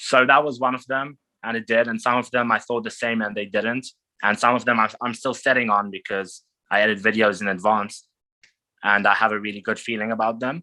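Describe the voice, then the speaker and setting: A man with an Israeli accent speaks at a medium pitch in a bright, sharp tone with fairly even intonation. The background is quiet. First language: Hebrew. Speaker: travel vlogger. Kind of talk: interview. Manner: halting.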